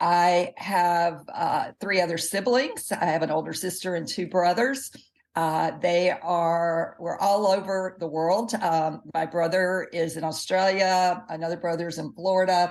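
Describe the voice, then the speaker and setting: With a Southern US accent, a woman talks at a fairly low pitch and fairly even intonation. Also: fairly slow pace. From US South, Jackson, Mississippi. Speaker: health expert and dietitian. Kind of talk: interview.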